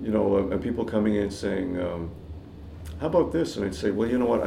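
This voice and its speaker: Audible room echo surrounds a man speaking with a Canadian accent. His pitch is fairly low and his intonation lively. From Canada, Toronto. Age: 60s. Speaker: jazz guitarist. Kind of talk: casual chat.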